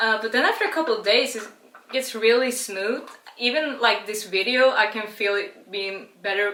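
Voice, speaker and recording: A woman with a Swedish accent speaks at a moderate pace in a fairly high voice with ordinary pitch variation, with noticeable background noise and audible room echo. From Sweden. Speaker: beer and cooking vlogger. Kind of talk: casual vlog tutorial and tasting. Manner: casual, chatty.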